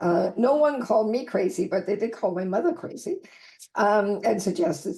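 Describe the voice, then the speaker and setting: The voice is dark, mellow and somewhat breathy, moving at a moderate pace. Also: woman. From Denmark. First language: Danish. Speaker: writer and health advocate. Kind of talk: interview conversation.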